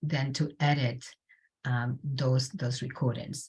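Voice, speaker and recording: A somewhat breathy woman's voice with a Spanish accent. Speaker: community health researcher. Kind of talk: panel presentation. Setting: video call. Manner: halting, many fillers and repeats.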